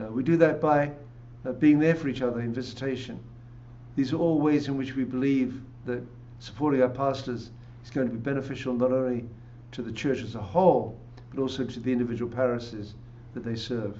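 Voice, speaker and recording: Delivered in an English accent with fairly even intonation, this voice pauses long and often, swings widely in loudness, and carries audible room echo. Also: man, medium pitch for a man, fairly quick pace. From England. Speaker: pastor. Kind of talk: interview.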